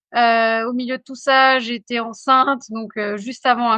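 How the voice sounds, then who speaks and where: Her pitch is fairly high and her intonation fairly even. The woman keeps a moderate pace. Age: 40s. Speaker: general practitioner. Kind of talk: interview. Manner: hesitant, many fillers.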